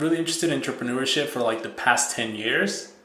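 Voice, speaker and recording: Audible room echo surrounds a man talking at a very fast pace with ordinary pitch variation. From Mexico. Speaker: software entrepreneur. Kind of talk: podcast interview. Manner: many false starts and repetitions.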